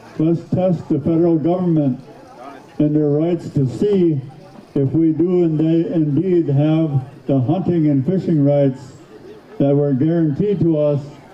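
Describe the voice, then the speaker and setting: The speaker goes at a very slow pace with long, frequent pauses and very even loudness, over noticeable background noise. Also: man, fairly high pitch for a man, ordinary pitch variation. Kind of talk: public speech at powwow. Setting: outdoors, PA system.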